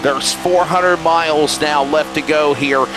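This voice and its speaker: A man with an American accent talks at a moderate pace. Music plays in the background. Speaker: sim racing commentator. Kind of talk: live commentary. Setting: online broadcast booth.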